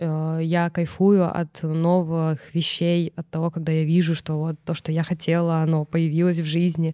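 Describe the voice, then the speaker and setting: A woman talks with a fairly low pitch and a dark, mellow tone at a fairly slow pace. Her intonation is monotone and flat, and the sound is dry and close with no echo. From Irkutsk Oblast, Russia. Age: 30s. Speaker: fashion brand founder. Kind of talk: interview.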